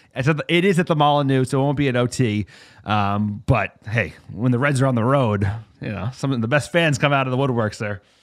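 On a very clean recording with a silent background, a man with an American accent uses an ordinary speaking voice at medium pitch, with ordinary pitch variation and a moderate pace. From US East Coast (New Jersey/New York). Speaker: football podcast host. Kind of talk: casual chat.

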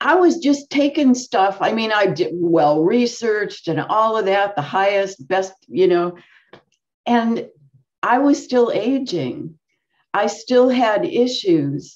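Over a quiet background, a woman talks at a very slow pace. Her pitch swings very widely. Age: 70s. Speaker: wellness channel host. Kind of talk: interview. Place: home room. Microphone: webcam.

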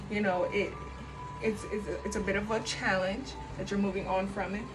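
She speaks at a moderate pace. Behind the woman, clear music can be heard. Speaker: tarot reader. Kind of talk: tarot reading commentary. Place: home room. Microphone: phone near.

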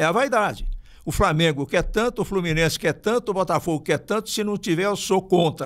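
At a fairly quick pace, a man with a high pitch talks with lively intonation against a quiet background. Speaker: sports radio broadcaster. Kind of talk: interview answer. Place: studio. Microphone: studio mic.

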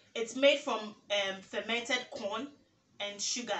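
In a room with audible echo, a woman with a fairly high pitch speaks at a fairly slow pace in an animated tone with ordinary pitch variation. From Ghana, Teshie (Accra, Ga); Ghana. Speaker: YouTuber. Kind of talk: casual vlog tag video. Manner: animated, laughing. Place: home room.

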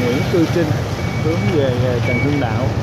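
The sound is dry with no echo, but loud background noise runs throughout. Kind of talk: casual travel commentary. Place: motorbike. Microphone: phone near.

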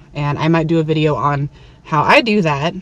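Behind a woman's very deep, low pitch sits noticeable background noise. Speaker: window cleaner and video blogger. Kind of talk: casual vlog monologue to camera. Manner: casual, hesitant with many filler words.

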